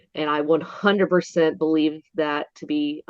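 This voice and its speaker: A woman speaks with an Appalachian Georgia accent. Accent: Southern US (Appalachian Georgia). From north Georgia mountains, US South. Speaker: Bigfoot museum worker, witness. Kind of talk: interview. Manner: occasional stumbling over words.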